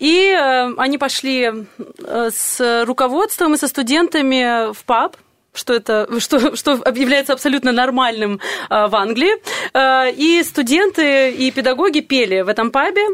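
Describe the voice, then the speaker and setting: Lively intonation in a woman's high voice. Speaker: vocal teacher guest. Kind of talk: radio interview.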